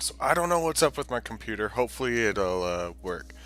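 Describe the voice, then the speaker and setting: Music plays in the background as a man speaks at a moderate pace, his pitch swinging very widely. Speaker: gaming let's play host. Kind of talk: casual gameplay commentary.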